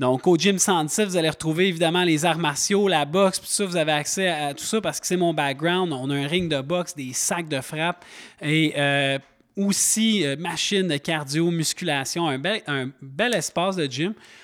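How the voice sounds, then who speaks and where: In a Quebec accent, a man talks at a moderate pace with a high voice, captured on a very clean recording with a silent background. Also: ordinary pitch variation. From Quebec, Montreal. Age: 30s. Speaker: podcast host and gym owner. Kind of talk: casual chat.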